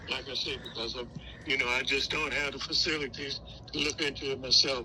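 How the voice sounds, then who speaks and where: Talking at a fairly quick clip, a man is heard with audible room echo and noticeable background noise. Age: 80s+. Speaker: retired homeowner in foreclosure. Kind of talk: phone call. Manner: halting.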